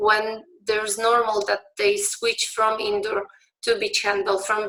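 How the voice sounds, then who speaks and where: A woman speaks at a very slow pace with a Polish accent. Her tone is bright and sharp. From Poland. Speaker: beach handball referee. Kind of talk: conference talk. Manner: halting, many fillers and restarts.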